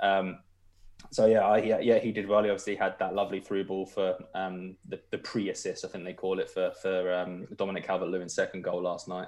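A man with a British accent at a fairly quick pace. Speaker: football journalist. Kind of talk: casual chat.

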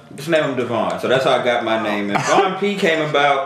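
Speaking with a New York accent and ordinary pitch variation, a man is heard over noticeable background noise and audible room echo. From New York (Brooklyn). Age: 30s. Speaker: DJ. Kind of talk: casual chat.

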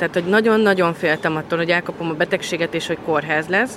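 Noticeable background noise is present. Over it, a woman speaks at a fairly low pitch. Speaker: COVID survivor, mother. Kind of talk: interview testimony.

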